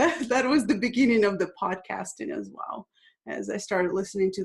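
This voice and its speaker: This speaker is a woman with a Russian accent. She talks at a moderate pace. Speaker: international speaker. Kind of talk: interview.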